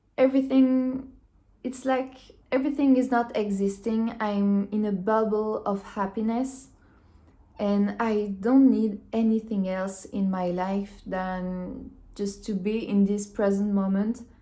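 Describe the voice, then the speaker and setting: In a French accent, a woman speaks with a dark, mellow tone, somewhat breathy. Her intonation is fairly even. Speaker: minimalism vlogger. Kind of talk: casual monologue. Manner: halting.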